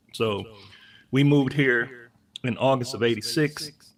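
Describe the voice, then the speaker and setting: A man's medium-pitched voice with an American accent and fairly even intonation. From Ohio (Akron). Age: 50s. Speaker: DJ and music creator. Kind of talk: casual interview.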